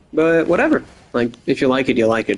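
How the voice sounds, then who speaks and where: A man talks at a fairly quick pace. He has an American accent. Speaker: gaming podcaster. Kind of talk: casual monologue. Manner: rambling, filler-heavy.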